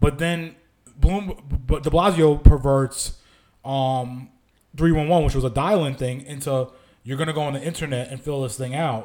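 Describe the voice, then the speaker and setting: With an unremarkable speaking voice, a man speaks at a moderate pace and fairly high pitch, his intonation fairly even but his loudness swinging widely. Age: 30s. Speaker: podcast co-host. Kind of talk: casual chat.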